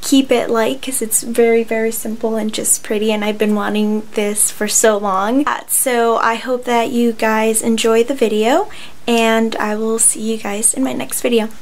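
A woman speaks at a moderate pace in a monotone, flat intonation with hardly any pauses. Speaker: beauty vlogger. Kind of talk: casual vlog chat, then tutorial. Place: home room. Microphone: phone near.

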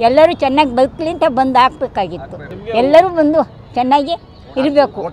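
Her voice high-pitched and dry with no echo, a woman speaks over noticeable background noise. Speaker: voter. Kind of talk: interview answer. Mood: cheerful, proud. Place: street. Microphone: handheld.

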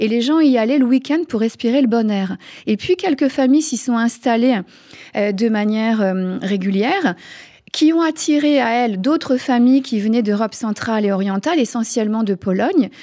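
Against a quiet background, a woman with a fairly high pitch and a dark, mellow tone talks at a moderate pace with lively intonation. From France. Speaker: author. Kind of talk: interview. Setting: studio. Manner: halting. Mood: calm, smiling. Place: studio. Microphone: studio mic.

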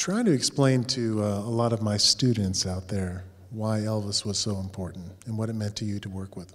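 A man's normal speaking voice, fairly low in pitch, with big swings in loudness, fairly even intonation, a moderate pace and hardly any pauses. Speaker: professor. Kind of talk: interview. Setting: stage with audience. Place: hall. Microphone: handheld.

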